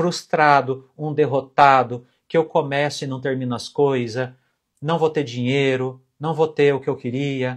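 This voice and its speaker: A man speaks at a fairly slow pace in a fairly high, somewhat breathy voice. The recording is very clean, with a silent background. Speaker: finance educator and mentor. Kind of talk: live stream talk. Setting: live stream. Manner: animated.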